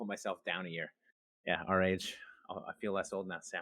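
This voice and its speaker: Recorded in a dry, close sound with no echo, a man speaks at a moderate pace. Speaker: streamer, gamer. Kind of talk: podcast interview, casual chat. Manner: loud.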